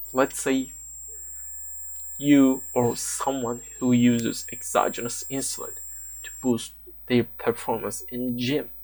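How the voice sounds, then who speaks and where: Noticeable background noise sits behind a man speaking at a very slow pace. His loudness swings widely, and long pauses come often. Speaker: fitness content creator. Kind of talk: lecture. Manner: halting, with repetitions and stutters.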